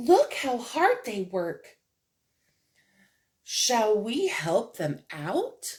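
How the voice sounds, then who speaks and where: In a put-on character voice with a warm, gentle tone and fairly high pitch, the speaker goes at a very slow pace with long, frequent pauses. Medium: read story. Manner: warm, patient, gentle.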